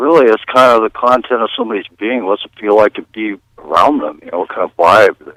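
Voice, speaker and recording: An unremarkable speaking voice moves at a fairly quick pace with ordinary pitch variation and big swings in loudness, in a dry, close sound with no echo. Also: man. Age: 60s. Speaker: caller. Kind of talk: radio call-in.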